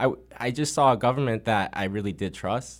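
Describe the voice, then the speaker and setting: In a very clean recording with a silent background, a man uses lively intonation in an ordinary speaking voice at a medium pitch. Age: 20s. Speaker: political candidate. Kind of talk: radio interview. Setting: studio.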